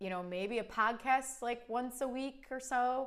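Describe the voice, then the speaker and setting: At a fairly slow pace, the voice moves with lively intonation. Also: woman. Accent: Cleveland. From US Midwest, Cleveland, Ohio. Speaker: cake artist and channel host. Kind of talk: live stream Q&A chat. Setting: live stream. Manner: casual, with many fillers.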